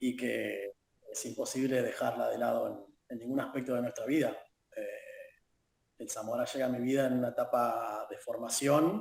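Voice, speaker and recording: In an Argentine accent, a man speaks at a moderate pace broken by long, frequent pauses. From Argentina, La Plata. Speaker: football fan. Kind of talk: interview. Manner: halting.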